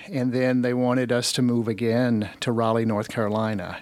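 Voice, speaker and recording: In a very clean recording with a silent background, a man with an American accent uses an ordinary speaking voice at a medium pitch and a moderate pace. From Alabama, US South. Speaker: retired human resources professional. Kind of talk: casual interview chat. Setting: radio studio.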